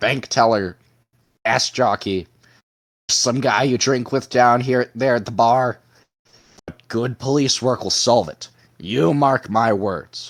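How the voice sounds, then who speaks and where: With long, frequent pauses, a man does a raspy, put-on character voice at medium pitch. His pace is fairly slow and his pitch varies in an ordinary way. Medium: read story. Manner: blustering, emphatic.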